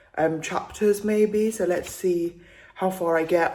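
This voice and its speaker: A woman's voice with monotone, flat intonation. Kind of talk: casual vlog talk to camera. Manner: chatty.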